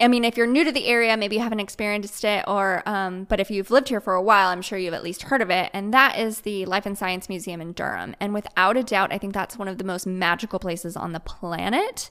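Over a very clean recording with a silent background, a woman with an American accent talks at a very fast pace with hardly any pauses, at a medium pitch, in a bright, sharp tone with ordinary pitch variation. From US Midwest. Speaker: human design coach. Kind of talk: casual interview.

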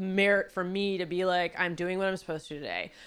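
A woman with an American accent talks at a fairly quick pace and a medium pitch. The recording is very clean, with a silent background. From Los Angeles, San Fernando Valley. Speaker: writer and producer. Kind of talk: casual chat.

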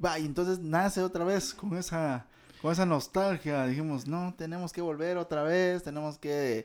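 Speaking with a Guatemalan accent, a man uses a high pitch at a moderate pace with fairly even intonation. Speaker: podcast co-host. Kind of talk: casual chat.

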